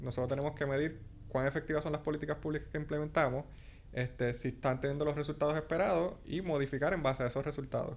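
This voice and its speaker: Very fast talking from a man, with fairly even intonation. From Puerto Rico. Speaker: graduate student. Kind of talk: casual interview chat.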